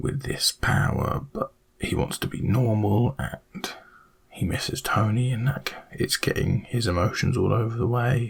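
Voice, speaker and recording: Someone is whispering at a very slow pace. Noticeable background noise sits behind the voice. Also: man. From British. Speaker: ASMR creator. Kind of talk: ASMR rambling talk to camera. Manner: soft-spoken, whispered.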